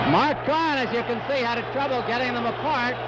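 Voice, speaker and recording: At a moderate pace, a man talks with a dry, echo-free sound and noticeable background noise. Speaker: boxing commentator. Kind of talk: live ring commentary, fight broadcast. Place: stadium.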